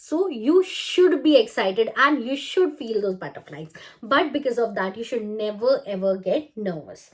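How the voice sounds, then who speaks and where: With an Indian accent, a woman talks at a moderate pace in a fairly high voice. Her pitch swings very widely and her loudness swings a lot. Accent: natural Indian English. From India, Chandigarh. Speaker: language trainer. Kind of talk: tutorial. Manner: smiling, talkative.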